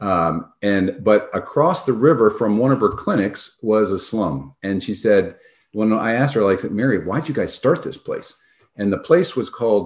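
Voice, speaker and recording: With a normal speaking voice and an American accent, a man speaks at medium pitch and a moderate pace with lively intonation against a quiet background. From New York State (Albany area). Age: 60s. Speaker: doctor and health tech founder. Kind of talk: interview.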